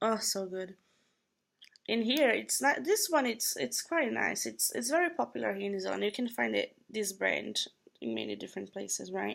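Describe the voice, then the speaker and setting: A woman speaks at a moderate pace with a Brazilian Portuguese accent. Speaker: vlogger. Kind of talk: casual vlog product review. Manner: hesitant with fillers.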